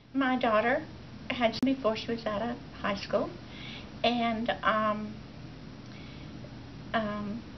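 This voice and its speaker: Amid noticeable background noise, a woman with a fairly high voice speaks at a very slow pace, with fairly even intonation and long, frequent pauses. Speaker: grandmother raising her grandson. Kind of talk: interview answer. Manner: hesitant, halting.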